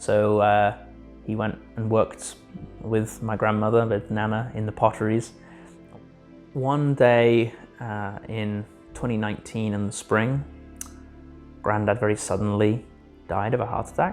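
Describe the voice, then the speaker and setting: Over music in the background, a man with a fairly low pitch talks at a fairly slow pace, with fairly even intonation and long, frequent pauses. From North East England. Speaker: student triathlete. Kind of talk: interview answer.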